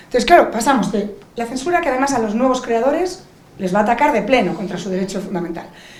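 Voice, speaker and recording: Amid noticeable background noise and audible room echo, a woman with a Spanish accent speaks in an animated tone at a high pitch, her pitch swinging very widely. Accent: Peninsular Spanish. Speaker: lawyer and digital rights advocate on a panel. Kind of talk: panel discussion.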